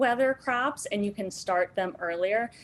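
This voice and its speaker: A woman has an ordinary speaking voice at a medium pitch. She talks at a fairly slow pace with lively intonation. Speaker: gardening instructor. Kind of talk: online workshop lecture.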